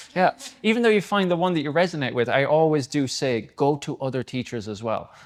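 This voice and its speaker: A man with a fairly high voice speaks at a fairly quick pace, with lively intonation. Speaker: yoga teacher trainer. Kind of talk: casual panel Q&A. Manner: fast; animated.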